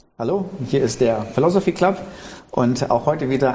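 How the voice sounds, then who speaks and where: Noticeable background noise accompanies this man. He speaks at a medium pitch and a fairly quick pace. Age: 50s. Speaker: pastor, podcast host. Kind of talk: casual interview.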